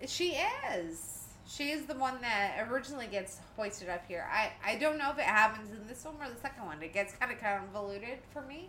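A woman with a fairly high pitch and lively intonation talks at a fairly quick pace with big swings in loudness, amid noticeable background noise and audible room echo. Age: 30s. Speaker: podcast co-host. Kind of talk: casual film commentary chat.

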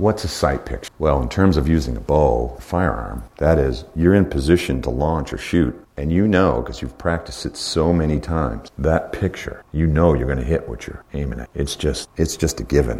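A man speaks at a moderate pace in a very deep, low voice, with ordinary pitch variation. He hardly pauses, and noticeable background noise runs under the recording. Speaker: hunting instructor. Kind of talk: seminar lecture. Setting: live class with audience.

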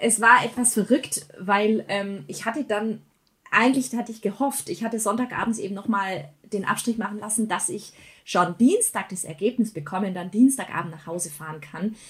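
A woman's somewhat breathy, fairly high voice moves at a moderate pace with ordinary pitch variation and big swings in loudness. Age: 30s. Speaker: church worker building family worship initiatives. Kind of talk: casual interview chat.

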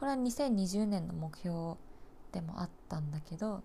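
This woman has a dark, mellow, somewhat breathy tone. Her pitch sits in the medium range with ordinary variation. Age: 20s. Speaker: nurse and podcast host. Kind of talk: casual solo monologue. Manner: halting, many fillers and pauses.

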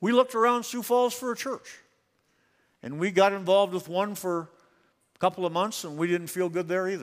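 Talking at a fairly quick pace, a high-pitched man breaks his speech with long, frequent pauses. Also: ordinary pitch variation, very clean recording, silent background. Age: 70s. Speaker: guest preacher. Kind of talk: sermon. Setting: church with congregation.

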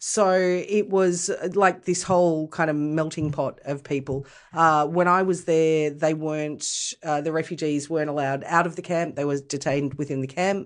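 Against a quiet background, a woman with an Australian accent speaks in a very deep, low pitch. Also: fairly even intonation, moderate pace. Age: 40s. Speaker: podcast guest. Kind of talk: casual chat.

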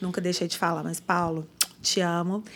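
A normal speaking voice delivered at a moderate pace on a very clean recording with a silent background. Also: woman. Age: 40s. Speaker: marketing executive. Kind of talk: casual interview. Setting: studio.

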